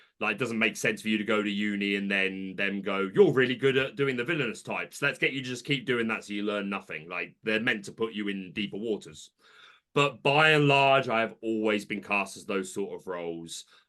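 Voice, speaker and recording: Here a man speaks with a British accent at a fairly quick pace. His pitch is fairly low and his tone bright and sharp. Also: ordinary pitch variation. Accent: British accent noticeable. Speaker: content creator. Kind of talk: casual chat.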